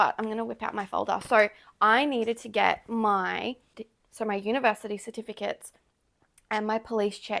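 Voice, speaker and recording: On a very clean recording with a silent background, a woman with an Australian accent speaks at a moderate pace in a fairly high pitch, her intonation monotone and flat and her speech broken by long, frequent pauses. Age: 20s. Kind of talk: casual talk to camera. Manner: relaxed, chatty.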